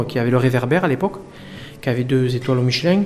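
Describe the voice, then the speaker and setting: Against noticeable background noise, a man talks with a medium pitch. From France, Lozère. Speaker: chef. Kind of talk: casual interview over dinner.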